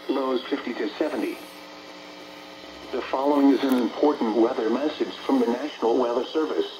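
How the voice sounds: A man speaks at a fairly quick pace. Faint background noise sits behind him. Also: medium pitch for a man, ordinary pitch variation, slightly mellow tone.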